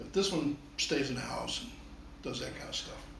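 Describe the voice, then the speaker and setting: A man speaks at a fairly quick pace. The recording carries audible room echo and noticeable background noise. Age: 60s. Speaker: photography hobbyist reviewing gear. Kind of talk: casual product review talk. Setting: at home. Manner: conversational, hesitant with repeats.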